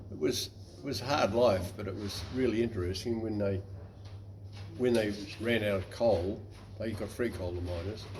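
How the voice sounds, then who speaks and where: Somewhat breathy and with a New Zealand accent, a man speaks in fairly even intonation with long, frequent pauses and audible room echo. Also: fairly low pitch for a man, moderate pace. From New Zealand, West Coast. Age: 80s+. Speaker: navy veteran. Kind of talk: interview.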